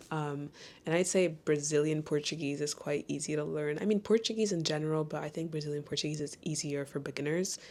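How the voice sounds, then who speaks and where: A woman speaks at a fairly quick pace in a very deep, low voice with fairly even intonation, recorded very cleanly against a silent background. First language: French. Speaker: lifestyle vlogger, trainee yoga teacher. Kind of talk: casual chat. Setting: bedroom. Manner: casual, filler-heavy.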